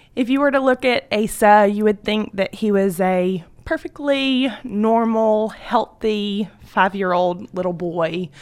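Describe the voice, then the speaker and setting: On a very clean recording with a silent background, a woman with a fairly high pitch speaks at a fairly slow pace with ordinary pitch variation and hardly any pauses. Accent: Southern US. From US South, Georgia. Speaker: homeschooling mother. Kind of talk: radio interview testimony. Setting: radio studio.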